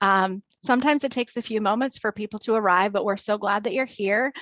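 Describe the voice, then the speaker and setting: This woman has an unremarkable speaking voice, medium in pitch, with ordinary pitch variation. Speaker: webinar host. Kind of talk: webinar hosting. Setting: video call webinar.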